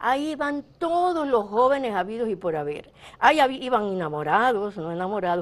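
Her pitch fairly high, a woman talks at a moderate pace with very wide pitch swings. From Dominican Republic. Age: 70s. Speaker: revolutionary's widow. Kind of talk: interview testimony. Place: studio.

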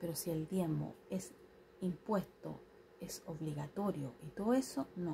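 A soft-spoken woman talks at a fairly slow pace with a fairly low pitch. Her intonation is lively, with light background noise behind her. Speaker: vlogger, tarot reader. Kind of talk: casual vlog monologue. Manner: soft-spoken, quiet. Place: home room. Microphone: phone near.

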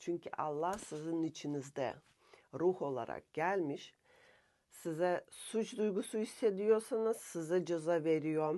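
A woman speaks at a very slow pace with a very deep, low pitch, ordinary pitch variation and a dark, mellow tone. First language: Russian (speaking Turkish). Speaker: subconscious therapist and self-help vlogger. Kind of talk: spiritual self-help monologue. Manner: halting, frequent filler pauses.

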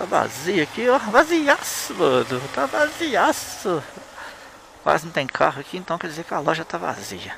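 A man's fairly slow speech with big swings in loudness, dry with no echo, over noticeable background noise. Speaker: motovlogger. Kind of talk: casual vlog chat. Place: motorbike. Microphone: helmet.

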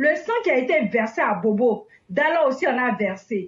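Very slowly, a woman speaks in a high pitch with lively intonation. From Ivory Coast, Daloa. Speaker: political activist. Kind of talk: impassioned testimony. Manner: animated.

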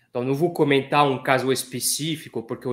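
A man speaks with a non-native accent. His intonation stays fairly even. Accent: foreign accent in Portuguese. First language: not Portuguese (speaking Portuguese). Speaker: economist; guest. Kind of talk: interview. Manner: hesitant, many fillers. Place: office.

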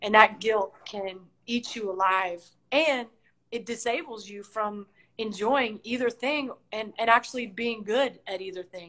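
A woman speaks at a fairly slow pace with a fairly high pitch. Her tone is bright and sharp, with big swings in loudness. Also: ordinary pitch variation. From Tennessee, Nashville; Tennessee. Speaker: basketball coach. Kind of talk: interview. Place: home room. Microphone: video call.

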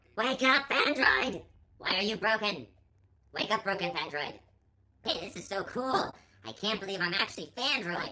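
A put-on character voice, female-sounding, at a medium pitch, with long, frequent pauses. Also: moderate pace. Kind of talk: casual game commentary. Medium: role play. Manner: upbeat.

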